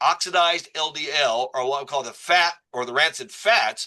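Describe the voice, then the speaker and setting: A man speaks in an animated tone. His voice is bright and sharp. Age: 60s. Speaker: doctor promoting a supplement. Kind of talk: presentation to a group, sales pitch. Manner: animated, conversational.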